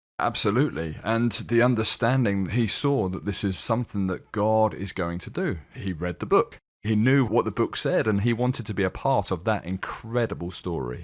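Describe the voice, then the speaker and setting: Speaking at a moderate pace with hardly any pauses, a man with a slight British accent and a fairly low pitch uses lively intonation on a very clean recording with a silent background. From United Kingdom. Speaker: film producer. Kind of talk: radio interview. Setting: studio.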